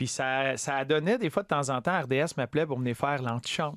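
In a Quebec accent, a man speaks at a fairly quick pace on a very clean, dry, close recording with no echo and a silent background. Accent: Québécois French. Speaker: former hockey player and TV analyst. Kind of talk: casual interview.

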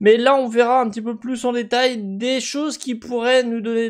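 A man is speaking. His pace is fairly slow. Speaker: gaming video commentator. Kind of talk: commentary.

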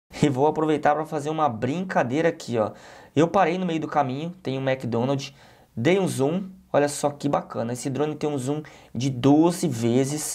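A man at a fairly high pitch with a Brazilian accent, a moderate pace and ordinary pitch variation, in a very clean recording with a silent background. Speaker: tech YouTuber, drone reviewer. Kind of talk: product review with voice-over commentary. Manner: casual, conversational.

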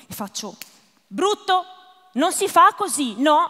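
A woman speaks in a bright, sharp tone. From northern Italy, Lombardy. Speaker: stand-up comedian. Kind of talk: stand-up comedy. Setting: stage with audience. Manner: self-deprecating, deadpan jokes; hesitant, rambling, many fillers.

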